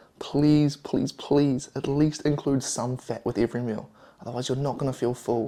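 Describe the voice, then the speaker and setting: With a New Zealand accent, a man talks at a fairly quick pace and a medium pitch. His tone is dark and mellow, and his intonation is fairly even. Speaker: fitness and diet vlogger. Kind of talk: cooking vlog.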